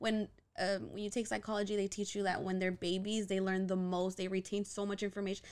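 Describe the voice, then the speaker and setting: Moving at a fairly quick pace, a woman speaks at a medium pitch in an ordinary speaking voice. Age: 20s. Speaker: podcast guest. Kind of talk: casual chat.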